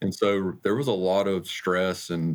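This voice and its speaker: A man speaks with an Alabama accent at a very deep, low pitch. The recording is very clean and the background silent. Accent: US Southern (Alabama). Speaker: school district finance officer. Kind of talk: interview. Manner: halting, many fillers.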